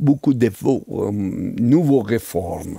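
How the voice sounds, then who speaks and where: A man's dark, mellow tone at a very slow pace, with ordinary pitch variation. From Iran. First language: Persian (speaking French). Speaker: tourism expert. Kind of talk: interview. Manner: hesitant, many fillers.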